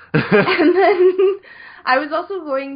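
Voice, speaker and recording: A woman speaks with a Canadian accent. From Saskatchewan, Canada. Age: 20s. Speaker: musician and programmer. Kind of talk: casual chat.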